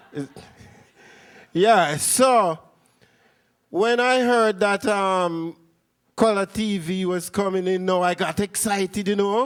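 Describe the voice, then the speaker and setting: A man with a Jamaican accent at a high pitch, very slow with long, frequent pauses and ordinary pitch variation, on a very clean recording with a silent background. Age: middle-aged. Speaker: dub poet. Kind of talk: spoken word performance. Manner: rhythmic.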